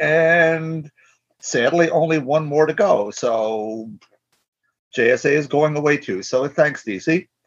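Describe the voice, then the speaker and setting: This man has a normal speaking voice pitched fairly high. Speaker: podcast co-host. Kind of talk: casual chat.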